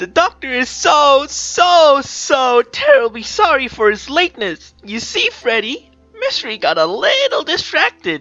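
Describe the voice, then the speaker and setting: A female-sounding, put-on character voice speaks at a moderate pace with hardly any pauses. Faint music plays in the background. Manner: gleeful, cheerful.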